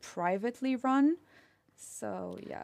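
A woman with a Romanian accent. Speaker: master's student. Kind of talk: casual interview.

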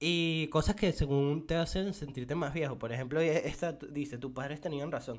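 A man has an unremarkable speaking voice at a fairly high pitch, with ordinary pitch variation. He talks at a moderate pace with hardly any pauses. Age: 20s. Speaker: podcaster. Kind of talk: casual solo podcast monologue. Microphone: mic too far at first.

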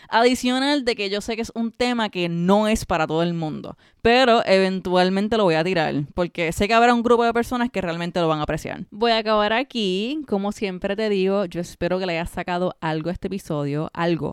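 An animated woman's voice at medium pitch with lively intonation, a fairly quick pace and hardly any pauses, dry and close with no echo on a very clean recording with a silent background. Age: 30s. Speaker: podcast host, self-employed creative. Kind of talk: casual monologue.

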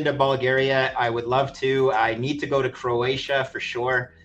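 A man with a Canadian accent, medium pitch and a moderate pace, over noticeable background noise. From Quebec, Montreal. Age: 50s. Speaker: finance veteran. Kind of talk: interview.

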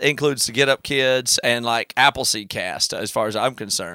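A man with a Southern US accent speaks at medium pitch in an upbeat, bright, sharp tone, the sound dry and close with no echo. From South Carolina. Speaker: podcast host. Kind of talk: casual interview. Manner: smiling, upbeat.

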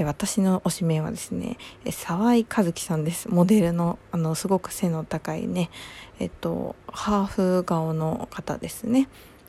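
A soft-spoken woman at a fairly slow pace, fairly low in pitch, with ordinary pitch variation. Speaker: podcast host. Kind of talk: casual solo chat.

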